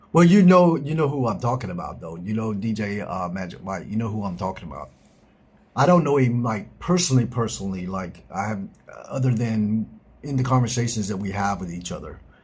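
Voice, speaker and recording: An American accent from a man at medium pitch, somewhat breathy, with lively intonation and a fairly quick pace. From US South, South Georgia. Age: 50s. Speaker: live streamer. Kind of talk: casual chat. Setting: live stream.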